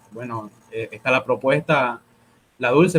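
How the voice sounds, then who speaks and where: His pitch is medium for a man. He talks at a fairly slow pace. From Argentina until age 8, then Bolivia. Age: 20s. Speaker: law student and pro-life activist. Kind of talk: interview on a live stream. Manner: halting, many repeated words and fillers.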